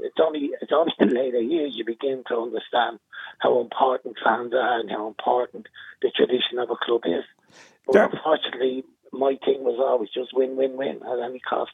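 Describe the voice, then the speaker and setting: An Irish accent marks this man's speech, delivered at a fairly quick pace. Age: 60s. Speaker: former football manager. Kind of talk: casual interview.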